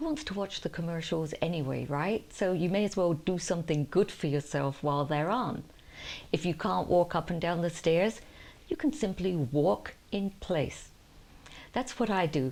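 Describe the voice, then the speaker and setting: A woman with a normal speaking voice, fairly low pitch, moderate pace and ordinary pitch variation. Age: 60s. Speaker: lifestyle vlogger. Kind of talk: casual talk to camera. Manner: warm, chatty.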